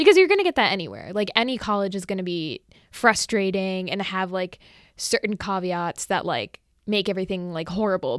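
Recorded very cleanly with a silent background and a dry, close sound with no echo, a woman in an American accent uses an ordinary speaking voice at a fairly quick pace, with ordinary pitch variation and big swings in loudness. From greater New York area. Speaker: college student. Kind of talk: casual chat.

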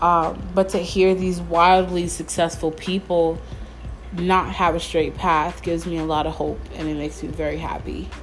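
At a moderate pace, the voice carries audible room echo with music playing in the background. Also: woman. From New York, Mount Vernon. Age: 20s. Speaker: podcaster. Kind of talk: casual solo monologue. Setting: home bedroom.

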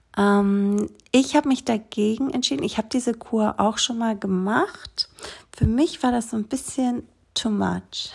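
In a calm, gentle tone that is somewhat breathy, a woman speaks at a fairly slow pace with a fairly high pitch and ordinary pitch variation. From Greece, small island. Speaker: yoga teacher and essential oils advisor. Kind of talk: solo podcast monologue.

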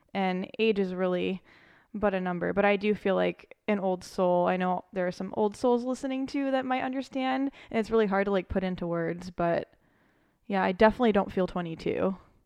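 A woman with an American accent and an unremarkable speaking voice, at a fairly quick pace. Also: medium pitch for a woman, ordinary pitch variation. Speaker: podcast co-host, photographer. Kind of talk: casual chat.

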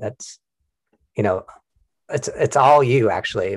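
Somewhat breathy, a man speaks in a medium pitch at a moderate pace on a very clean recording with a silent background. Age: 40s. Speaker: school counselor and podcast host. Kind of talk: casual interview.

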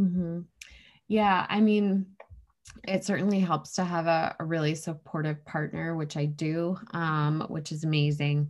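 Heard over a silent background in a very clean recording, an unremarkable speaking voice with an American accent moves at a fairly slow pace with fairly even intonation. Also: woman, fairly low pitch for a woman. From New Hampshire, US. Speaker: running retreat founder and snowshoe racer. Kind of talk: casual interview.

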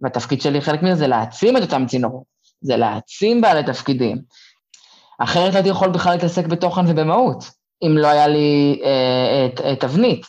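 Here is a man with a plain, everyday voice and a fairly high pitch. He keeps a moderate pace and very even loudness. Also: lively intonation. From Israel. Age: 20s. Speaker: former community emissary. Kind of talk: interview.

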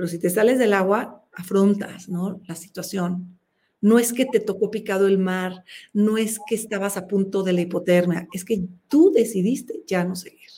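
Somewhat breathy and dark, mellow in tone, a woman talks at a moderate pace with medium pitch and fairly even intonation. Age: 50s. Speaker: open-water swimmer. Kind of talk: interview.

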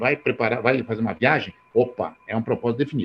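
A man's fairly quick speech has a somewhat breathy sound. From rural Brazil. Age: 60s. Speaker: network marketing entrepreneur. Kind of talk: motivational talk.

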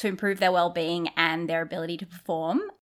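This very clean recording has a silent background. The woman's tone is bright and sharp. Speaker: podcast co-host. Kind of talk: casual chat.

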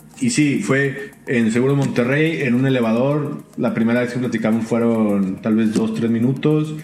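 A man at medium pitch speaks with very even loudness and hardly any pauses, in audible room echo with noticeable background noise. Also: ordinary pitch variation, moderate pace. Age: 30s. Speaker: podcast co-host. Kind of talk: casual chat.

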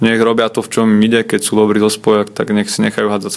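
This man talks fairly quickly in a fairly low, flat monotone. Noticeable background noise runs behind him. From Slovakia. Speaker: handball goalkeeper. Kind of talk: interview. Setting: hotel.

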